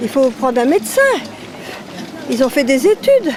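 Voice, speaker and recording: A woman with a high pitch speaks at a moderate pace, her pitch swinging very widely. Noticeable background noise is present. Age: 70s. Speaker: passer-by. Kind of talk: street interview.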